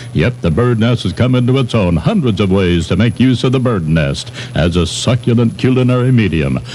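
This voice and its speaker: A man with an American accent speaks in a playful tone with lively intonation over noticeable background noise. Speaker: radio morning host. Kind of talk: radio DJ patter. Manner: irreverent, playful.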